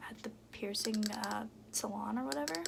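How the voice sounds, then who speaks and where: A woman whispers at a moderate pace. Her voice is soft-spoken and somewhat breathy. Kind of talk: ASMR soft-spoken talk to camera about beauty products. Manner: soft-spoken, whispery.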